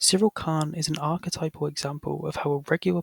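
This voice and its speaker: A man talks fairly quickly at a fairly high pitch, the sound dry and close with no echo. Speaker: video essayist. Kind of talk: scripted narration.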